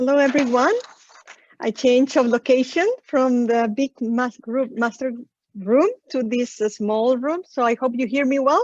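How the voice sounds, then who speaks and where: With a Spanish accent, a woman speaks at a moderate pace in a high pitch with ordinary pitch variation, recorded with a dry, close sound with no echo. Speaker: session moderator. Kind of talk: moderating an online session. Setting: video call from a small room.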